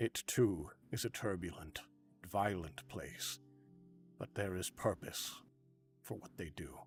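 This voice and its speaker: A man does a put-on character voice at a fairly low pitch and a fairly slow pace. Music plays in the background. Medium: actual play. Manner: calm, measured, contemplative.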